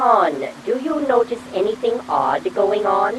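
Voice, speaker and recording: Over clear background noise, a female-sounding put-on character voice at a fairly high pitch speaks at a fairly slow pace. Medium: audio drama. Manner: dry, cautious.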